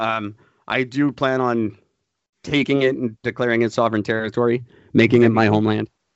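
In a medium pitch, a man talks with an ordinary speaking voice. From Canada. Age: 40s. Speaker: podcast host.

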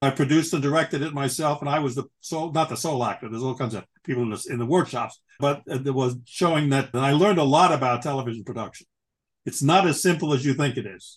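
A man speaks at a very fast pace in a fairly high pitch, with ordinary pitch variation. His voice is somewhat breathy over a quiet background. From New York. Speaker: author and retired chemical industry worker. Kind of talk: interview.

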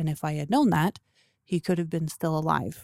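A woman's dark, mellow voice with a Canadian accent, very cleanly recorded against a silent background, dry and close with no echo. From Canada (Toronto). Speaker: grief support group organizer. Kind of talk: interview about personal grief.

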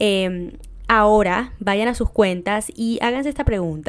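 A woman talks at a fairly slow pace in an ordinary speaking voice pitched fairly high. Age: 20s. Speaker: podcast host. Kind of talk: casual monologue.

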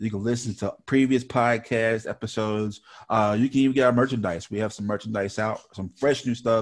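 In a normal speaking voice, a man talks at a fairly quick pace and medium pitch, with fairly even intonation and hardly any pauses. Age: young. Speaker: podcast host. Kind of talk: casual chat.

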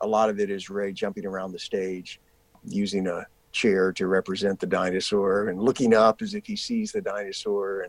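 A man at a moderate pace, fairly low in pitch, with monotone, flat intonation. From US South, rural South Carolina. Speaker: actor. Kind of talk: interview conversation.

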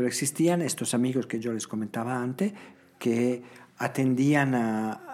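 With an Italian accent, a man at medium pitch speaks at a fairly slow pace with ordinary pitch variation. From Italy, Emilia mountains near Bologna. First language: Italian (speaking Spanish). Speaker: founder of a children's charity home. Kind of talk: interview conversation. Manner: halting, with frequent repetitions.

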